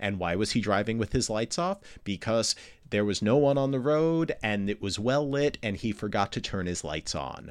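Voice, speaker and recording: With an American accent, a man speaks in an unremarkable speaking voice at a fairly low pitch. His pace is moderate and his intonation lively. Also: quiet background. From US, New York. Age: 40s. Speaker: astrophysicist podcast host. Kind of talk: casual interview. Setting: video call.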